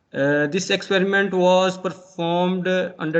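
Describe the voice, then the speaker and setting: A man talks at a fairly quick pace with monotone, flat intonation. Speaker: conference presenter, engineering researcher. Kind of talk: academic presentation. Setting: online video conference. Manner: soft-spoken. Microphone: too quiet, mic far away.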